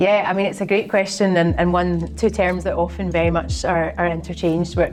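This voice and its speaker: A woman speaks with a Glaswegian accent and very even loudness. Noticeable background noise can be heard. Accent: Glaswegian Scottish. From Scotland, Glasgow. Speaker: fintech strategy consultant. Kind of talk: interview. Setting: office.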